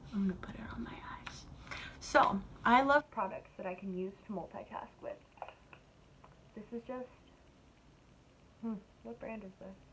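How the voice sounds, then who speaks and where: A woman with an American accent speaks in a fairly high pitch with ordinary pitch variation and big swings in loudness. Her pauses are long and frequent, and there is noticeable background noise. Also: moderate pace. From US, California. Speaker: makeup vlogger. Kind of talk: makeup tutorial. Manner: animated.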